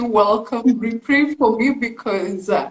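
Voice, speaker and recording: The voice shows ordinary pitch variation, with noticeable background noise. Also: woman. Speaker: beauty pageant finalist. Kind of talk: live stream interview.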